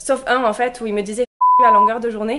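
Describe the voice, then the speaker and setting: Speaking at a very fast pace, a woman talks with a fairly high pitch. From England, raised from age six in Gers, southwest France. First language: English (speaking French). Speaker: vlogger. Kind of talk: casual vlog narration.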